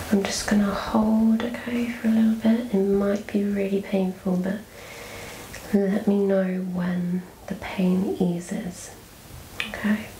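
A woman's very slow, flat monotone voice, with long, frequent pauses, audible room echo and light background noise. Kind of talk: ASMR role-play. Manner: soft-spoken, gentle low-volume ASMR voice. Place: home room.

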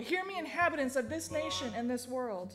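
Lively intonation marks this woman's high-pitched voice, which has a fairly bright tone.

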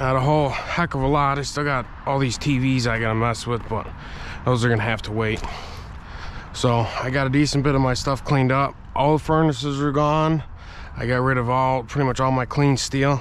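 Light background noise sits behind a man speaking at a fairly quick pace. His intonation is flat and monotone, and the sound is dry with no echo. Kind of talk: casual vlog chat. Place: open country. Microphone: phone near.

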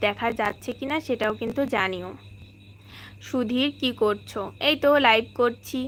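A woman speaks with fairly even intonation in an ordinary speaking voice. The recording is very clean, with a silent background. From West Bengal, India (Bongaon). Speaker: vlogger and housewife. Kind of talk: casual live-stream chat.

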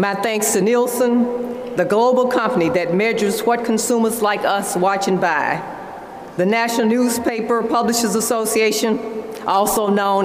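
A woman at a fairly slow pace with ordinary pitch variation, amid audible room echo and light background noise. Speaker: conference host. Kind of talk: prepared speech. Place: hall. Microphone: podium.

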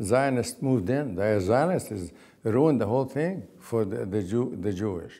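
With an Arabic accent, a man talks at a moderate pace in a dark, mellow tone with lively intonation. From Palestine. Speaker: oral history interviewee; interviewee. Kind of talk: oral history interview. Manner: halting. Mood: reflective, earnest. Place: home room. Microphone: lapel.

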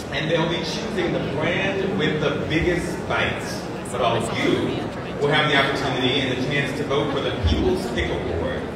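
A woman speaks at a moderate pace amid loud background noise and audible room echo. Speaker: event host. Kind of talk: live event hosting. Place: hall.

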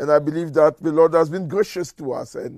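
Dark, mellow male voice at a moderate pace, with ordinary pitch variation, a quiet background and a dry sound with no echo. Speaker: church minister. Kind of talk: prayer meeting address and prayer. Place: home room.

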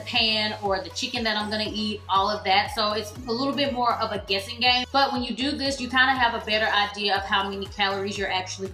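Very fast speech with fairly even intonation, audible room echo and faint music in the background. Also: woman. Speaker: lifestyle vlogger. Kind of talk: casual vlog chat. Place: kitchen.

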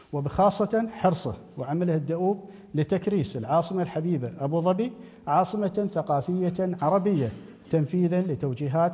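Pitched high for a man, his voice rises and falls with ordinary pitch variation. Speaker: speaker. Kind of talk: formal memorial speech. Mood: solemn, respectful. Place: hall. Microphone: podium.

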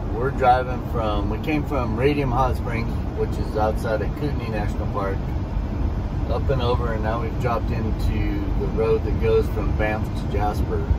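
The recording carries loud background noise. A man speaks at a moderate speed. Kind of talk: casual vlog chat. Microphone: camera far.

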